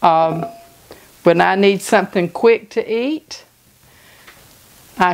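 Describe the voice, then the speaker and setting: A woman's medium-pitched voice with ordinary pitch variation amid noticeable background noise. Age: 60s. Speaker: home cooking channel host. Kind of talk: cooking tutorial. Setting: home kitchen. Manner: casual, conversational.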